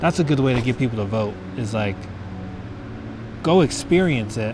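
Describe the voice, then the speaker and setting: Amid noticeable background noise, a man in an American accent speaks at a moderate pace and medium pitch. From Colorado. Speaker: wildlife biologist and comedian. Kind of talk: casual documentary interview.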